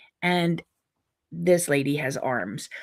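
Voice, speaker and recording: A woman speaks at a very slow pace on a very clean recording with a silent background. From US, Pittsburgh. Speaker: quilting video host. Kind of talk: casual chat to viewers. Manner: chatty, many fillers.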